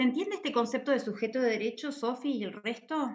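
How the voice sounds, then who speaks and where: A woman is speaking. There is audible room echo. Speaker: university lecturer. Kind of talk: lecture.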